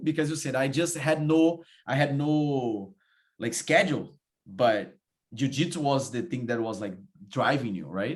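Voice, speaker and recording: A man with a Portuguese accent, fairly high in pitch, at a fairly slow pace with lively intonation. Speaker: podcast host. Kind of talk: casual interview chat.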